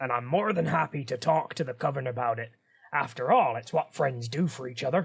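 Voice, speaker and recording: Using a raspy, put-on character voice, a man speaks at medium pitch and a fairly quick pace with ordinary pitch variation. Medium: read story. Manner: cheerful, boastful.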